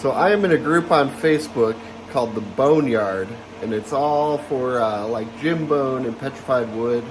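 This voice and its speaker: Noticeable background noise accompanies a man speaking at a moderate pace. His intonation is lively. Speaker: lapidary hobbyist YouTuber. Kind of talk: casual tutorial vlog. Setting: workshop. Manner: hesitant, many fillers.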